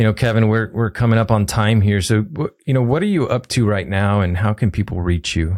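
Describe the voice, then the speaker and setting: In an ordinary speaking voice, a man with a fairly low pitch talks at a fairly quick pace, with hardly any pauses, ordinary pitch variation and very even loudness. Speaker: podcast host. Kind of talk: casual interview conversation.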